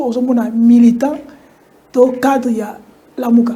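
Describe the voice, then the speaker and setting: A woman speaks in a high voice, with audible echo from the room. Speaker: TV talk show host. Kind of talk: political talk show.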